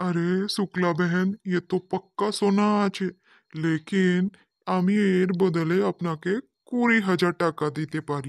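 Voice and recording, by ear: A cartoonish character voice at middle pitch moves at a fairly slow pace on a very clean recording with a silent background.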